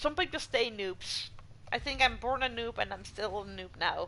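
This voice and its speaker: Here a woman is talking with a non-native accent. She keeps a moderate pace. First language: not English. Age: 40s. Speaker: video game streamer. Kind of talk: live game stream with chat reading. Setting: home, on couch.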